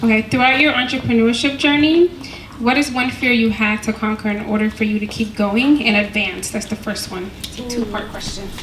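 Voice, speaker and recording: Noticeable background noise accompanies a woman talking at a fairly quick pace and fairly high pitch with ordinary pitch variation. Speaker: panel moderator. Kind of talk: panel moderation. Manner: loud.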